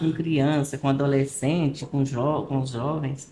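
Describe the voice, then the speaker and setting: A woman is speaking. Her pace is fairly slow. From Goiás, Brazil. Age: 70s. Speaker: retired-age schoolteacher. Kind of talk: podcast interview.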